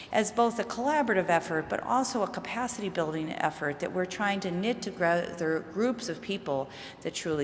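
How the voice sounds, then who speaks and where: A woman's medium-pitched voice with an American accent, fairly quick and lively in intonation, amid audible room echo and noticeable background noise. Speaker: mental health researcher. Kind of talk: conference talk.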